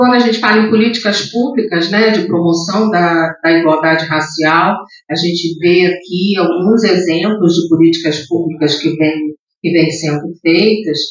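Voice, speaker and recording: A fairly low-pitched woman's voice, fairly slow, with ordinary pitch variation, very even loudness, and audible room echo. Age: 60s. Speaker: diversity and inclusion leader, speaker. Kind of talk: lecture. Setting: theatre stage with audience.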